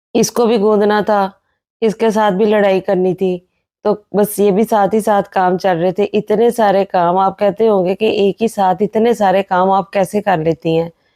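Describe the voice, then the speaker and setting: A woman speaks at a fairly slow pace in a medium pitch, her dark, mellow tone delivered in a monotone, flat intonation with very even loudness and a dry, close sound with no echo. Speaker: homemaker vlogger. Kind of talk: vlog voiceover narration.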